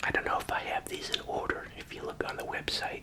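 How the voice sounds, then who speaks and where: Whispering at a fairly quick pace in a relaxed tone, the voice comes through noticeable background noise. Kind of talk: casual talk to camera while eating, ASMR whisper video. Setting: studio, close-mic ASMR recording. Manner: quiet, whispered, relaxed.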